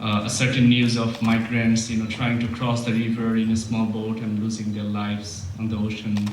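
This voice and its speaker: A man with a Bengali accent speaks at medium pitch, with audible room echo and noticeable background noise. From Bangladesh. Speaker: poet and professor. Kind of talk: poetry reading introduction.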